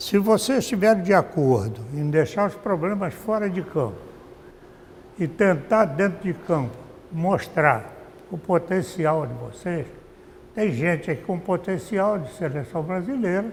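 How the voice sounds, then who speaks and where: A man with a high pitch, lively intonation and a fairly slow pace. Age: 80s+. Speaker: former football club director. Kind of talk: interview testimony. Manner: halting, with frequent repetitions.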